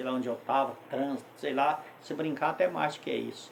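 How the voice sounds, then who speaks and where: A man talks at a moderate pace while noticeable background noise and audible room echo fill the clip. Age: 60s. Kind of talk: testimony; informal sermon. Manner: conversational, with self-corrections.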